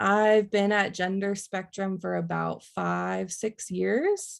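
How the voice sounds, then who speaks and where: A woman's voice with ordinary pitch variation over a quiet background. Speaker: online educator, workshop presenter. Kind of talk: online workshop presentation. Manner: fast.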